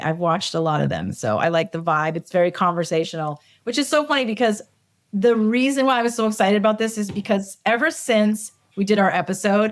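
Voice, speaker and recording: With a Boston accent, a woman talks at a fairly quick pace and medium pitch, her intonation lively, on a very clean recording with a silent background. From Massachusetts, Cambridge (Boston area). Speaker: film assistant director. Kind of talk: casual chat.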